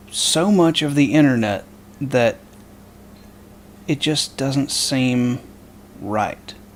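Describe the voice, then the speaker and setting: Very slowly and with long, frequent pauses, a man speaks at a fairly high pitch with ordinary pitch variation. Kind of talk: casual political commentary to camera. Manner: hesitant, stammering.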